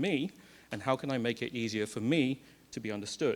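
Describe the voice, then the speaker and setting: In an English accent, a man speaks fairly quickly with ordinary pitch variation. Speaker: conference speaker. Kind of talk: lightning talk. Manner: fast.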